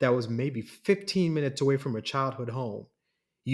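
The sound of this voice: Against a quiet background, an unforced reading voice with ordinary pitch variation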